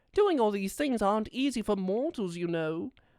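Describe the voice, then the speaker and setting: A put-on character voice that sounds female comes through on a very clean recording with a silent background. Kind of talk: comfort audio roleplay. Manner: soft-spoken, affectionate.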